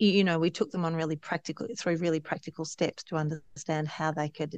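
Speaking fairly quickly with an Australian accent, a woman with a fairly low pitch comes across dry and close with no echo. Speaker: regenerative farmer and nonprofit CEO. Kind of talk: casual interview. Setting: video call. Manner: energetic.

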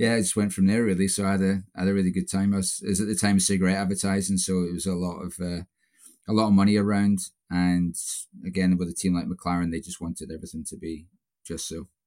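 A man speaks at a very fast pace in a very deep, low pitch with a dark, mellow tone and monotone, flat intonation. The recording is very clean, with a silent background. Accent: Scottish. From Scotland. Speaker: performance coach. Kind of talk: casual interview.

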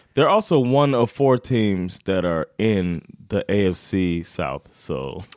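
A man's fairly low voice with very wide pitch swings, a very slow pace, and a dry, close sound with no echo. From United States. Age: 30s. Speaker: sports podcast co-host. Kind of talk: casual chat. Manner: laughs often.

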